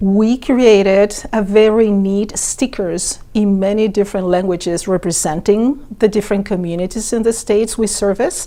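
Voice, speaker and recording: At a moderate pace and medium pitch, a woman with a Latin American accent speaks with fairly even intonation and hardly any pauses. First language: Spanish. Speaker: organ donation outreach worker. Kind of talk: interview.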